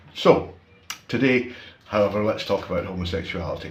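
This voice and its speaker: With audible room echo, a man speaks at a fairly quick pace and a fairly low pitch, using ordinary pitch variation. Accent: Scottish. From Scotland. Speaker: YouTuber, commentator. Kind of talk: opinion monologue. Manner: casual, conversational with fillers.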